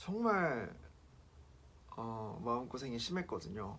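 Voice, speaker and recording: A man speaks at a very slow pace with very wide pitch swings, and audible room echo surrounds his voice. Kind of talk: personal testimony vlog. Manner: casual, hesitant with fillers.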